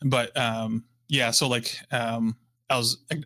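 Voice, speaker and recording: A man with a Midwestern American accent speaks very slowly at medium pitch, his tone bright and sharp and his intonation fairly even, in a dry, close sound with no echo. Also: very clean recording, silent background. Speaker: guitarist and professor. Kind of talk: casual chat. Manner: halting, many fillers.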